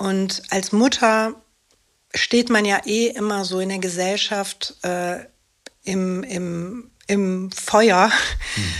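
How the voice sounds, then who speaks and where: Very slowly and at a medium pitch, a woman talks with fairly even intonation. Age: 50s. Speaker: actress and single mother with ADHD. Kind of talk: interview.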